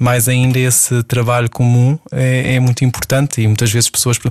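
Over noticeable background noise, a man talks at a fairly quick pace. His medium-pitched voice stays monotone and flat. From Portugal, Setúbal. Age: 40s. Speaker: ballet dancer and choreographer. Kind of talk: interview. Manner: halting.

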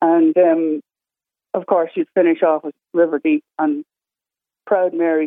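A woman speaks at a fairly low pitch and a fairly slow pace, her intonation monotone and flat, with long, frequent pauses. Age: 60s. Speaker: caller. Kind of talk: casual chat. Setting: phone call.

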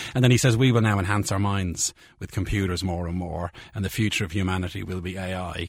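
A man with a Dublin accent and a very deep, low pitch, at a very fast pace. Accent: Irish (Dublin area). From Ireland. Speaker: biochemistry professor. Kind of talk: casual interview chat. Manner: animated.

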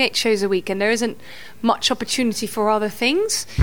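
Her intonation stays lively. The woman moves at a fairly quick pace. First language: Dutch. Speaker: musical theatre actress. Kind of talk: casual chat.

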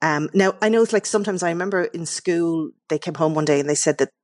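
A woman with an Irish accent, very deep and low in pitch, talking at a very fast pace with ordinary pitch variation, in a dry, close sound with no echo. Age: 50s. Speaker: novelist. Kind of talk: radio interview.

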